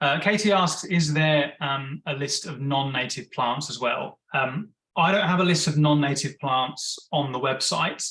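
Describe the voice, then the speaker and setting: A man speaks with a fairly high pitch, a bright, sharp tone and ordinary pitch variation. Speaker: webinar presenter on bees. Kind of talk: webinar Q&A. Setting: online webinar. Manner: fast.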